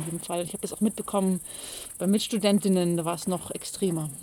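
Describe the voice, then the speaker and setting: A woman speaks at medium pitch and a moderate pace, with ordinary pitch variation. Her tone is dark and mellow. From Bavaria, Pullach near Munich. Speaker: cabaret artist and poet. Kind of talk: interview. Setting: mountain pasture.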